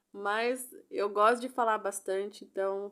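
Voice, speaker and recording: A woman talks at a fairly high pitch on a very clean recording with a silent background. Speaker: crochet instructor. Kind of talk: tutorial. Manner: animated.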